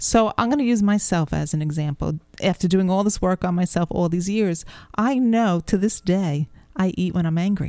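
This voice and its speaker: Here a woman has an unremarkable speaking voice, medium in pitch with ordinary variation, at a moderate pace. The sound is dry and close with no echo, and the loudness stays very even. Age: 60s. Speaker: health author and speaker. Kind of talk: interview conversation. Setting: radio studio.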